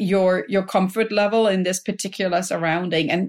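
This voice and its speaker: A woman with a German accent speaks at a medium pitch in an enthusiastic tone. The recording is very clean, with a silent background. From Germany. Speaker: health coach and professor. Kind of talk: podcast interview.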